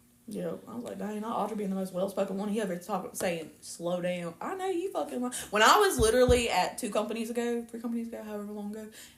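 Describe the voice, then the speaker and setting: Noticeable background noise sits behind a woman talking at a very fast pace with hardly any pauses. Her fairly high pitch shows ordinary variation. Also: big swings in loudness. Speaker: podcast co-host. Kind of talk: casual chat. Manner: loud.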